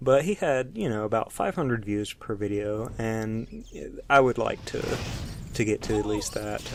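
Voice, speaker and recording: A man with a Southern US accent. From US South, Alabama. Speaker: gaming YouTuber. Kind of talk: let's play commentary. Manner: slow, low tone; halting, many fillers.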